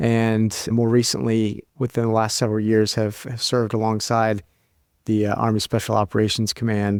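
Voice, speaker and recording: A medium-pitched man talks at a moderate pace in an American accent with monotone, flat intonation. The recording is very clean, with a silent background and a dry, close sound with no echo. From US, Kentucky. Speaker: army dietitian and researcher. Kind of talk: interview.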